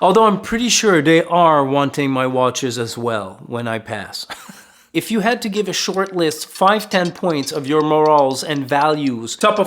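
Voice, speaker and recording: A man speaks with a French Canadian accent at a fairly slow pace. His pitch sits fairly high. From Quebec. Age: 40s. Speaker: lifestyle vlogger. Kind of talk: Q&A vlog.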